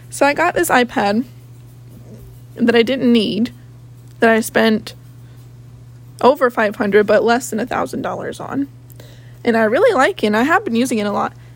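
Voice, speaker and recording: Against noticeable background noise, a woman with a fairly high pitch and lively intonation speaks at a moderate pace with long, frequent pauses. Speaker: podcaster. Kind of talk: casual solo chat, rambling. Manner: animated, talkative; self-deprecating, humorous.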